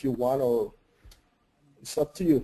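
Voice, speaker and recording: The speaker talks at a fairly slow pace with a Spanish accent. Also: man. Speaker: 3D artist and software trainer. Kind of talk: webinar Q&A. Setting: online webinar.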